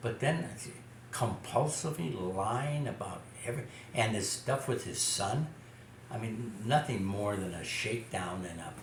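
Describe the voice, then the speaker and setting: A man talks at a medium pitch with lively intonation. Noticeable background noise is present. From Chicago. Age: 80s+. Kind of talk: interview answer. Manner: hesitant, repeats words.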